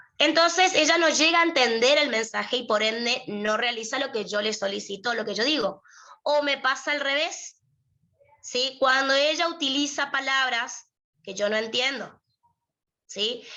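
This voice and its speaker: Raising and projecting her voice, a woman speaks at a fairly slow pace and a high pitch with ordinary pitch variation. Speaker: lawyer and university prep tutor. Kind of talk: lecture.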